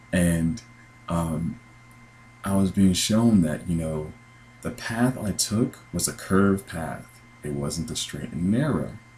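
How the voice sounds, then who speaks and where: A man's very deep, low voice, very slow with long, frequent pauses, lively in intonation, over noticeable background noise. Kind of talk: casual talk to camera, religious dream account. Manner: conversational, earnest.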